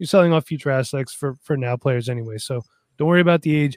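The man talks at a very fast pace with a fairly high pitch and ordinary pitch variation. The sound is dry and close, with no echo. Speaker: fantasy football podcaster. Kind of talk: casual chat. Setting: video call.

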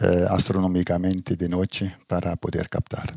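A man with a very deep, low voice. He talks at a moderate pace. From Belgium, Ghent (Flemish region). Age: 60s. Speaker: astrophotographer, retired engineer. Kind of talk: interview conversation. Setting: at his private observatory. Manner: halting, many fillers.

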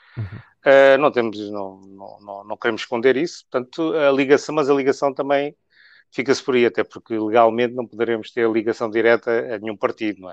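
A man with a plain, everyday voice speaks at a medium pitch and fairly quick pace, with ordinary pitch variation and big swings in loudness. His sound is dry and close with no echo, and the background is quiet. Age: 50s. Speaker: trade unionist. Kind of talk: interview.

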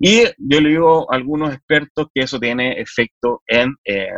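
With a Chilean accent, a man talks at a fairly high pitch, the sound dry and close with no echo. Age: 40s. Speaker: politician. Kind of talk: interview. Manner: halting.

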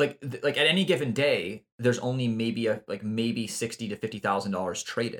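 A normal speaking voice from a man at medium pitch, fairly quick in pace with ordinary pitch variation. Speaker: podcast co-host. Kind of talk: casual chat.

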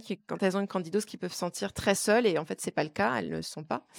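The sound is close and dry, without any echo. A woman rattles along at a very fast pace. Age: 30s. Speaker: wellness coach. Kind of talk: casual interview. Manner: halting, repeats words.

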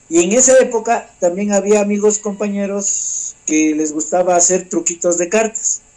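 Over noticeable background noise, a man with a high pitch speaks at a moderate pace with ordinary pitch variation and hardly any pauses. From Ecuador, Ambato. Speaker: magician. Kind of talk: interview.

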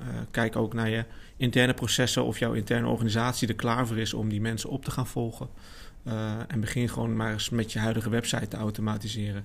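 A man's medium-pitched voice at a very fast pace, with monotone, flat intonation. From Netherlands, Amersfoort. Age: 30s. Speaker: marketing specialist. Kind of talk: casual chat.

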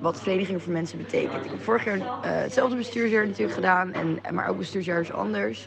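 A woman is speaking. Noticeable background noise runs behind her voice. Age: 20s. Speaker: student. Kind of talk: voice message. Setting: cafe.

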